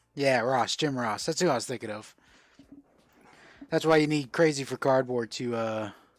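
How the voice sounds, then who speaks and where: A man's medium-pitched voice with an American accent at a moderate pace, with ordinary pitch variation and long, frequent pauses, in a very clean recording with a silent background. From South Florida (Fort Lauderdale). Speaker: livestream host, card seller. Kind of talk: casual livestream chat.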